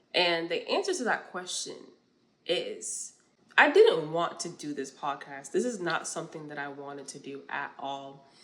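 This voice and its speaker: A woman with an American accent uses an ordinary speaking voice, fairly low in pitch, with lively intonation at a moderate pace. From New York. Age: 20s. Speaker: podcast host. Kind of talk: casual monologue, faith-based talk.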